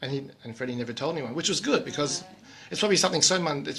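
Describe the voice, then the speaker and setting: A man speaks at a very fast pace, his pitch fairly high with ordinary variation. Noticeable background noise runs behind him. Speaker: radio host. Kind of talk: casual radio talk.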